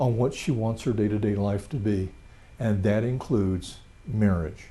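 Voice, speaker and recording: Over a quiet background, a man speaks at a moderate pace with ordinary pitch variation. His medium-pitched voice is dark, mellow and somewhat breathy. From Louisiana. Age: 60s. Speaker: retired financial planner, presenter. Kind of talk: lecture.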